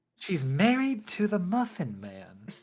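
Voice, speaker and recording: A put-on character voice at middle pitch, delivered at a fairly slow pace. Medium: stage play. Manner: haughty, sneering.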